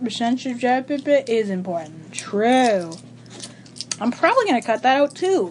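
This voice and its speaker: A woman with a high pitch talks at a fairly slow pace with very wide pitch swings and long, frequent pauses, against noticeable background noise. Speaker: podcast co-host. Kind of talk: casual chat.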